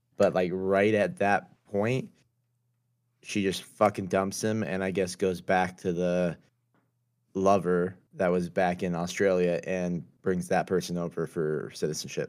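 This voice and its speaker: A man speaks with a very deep, low pitch in a monotone, flat intonation at a fairly slow pace. The recording is very clean, with a silent background. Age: 30s. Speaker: stream guest. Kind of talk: casual chat.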